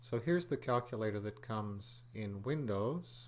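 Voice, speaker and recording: Fairly low in pitch and fairly slow in pace, a man talks in an ordinary speaking voice. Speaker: computer programming teacher. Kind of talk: tutorial.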